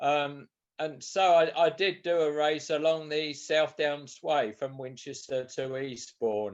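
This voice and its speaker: Very slow, fairly high-pitched male speech with ordinary pitch variation. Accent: southern English. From southern England, Sussex. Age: 70s. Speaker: author and ultramarathon runner. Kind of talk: interview. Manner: hesitant, repeats words.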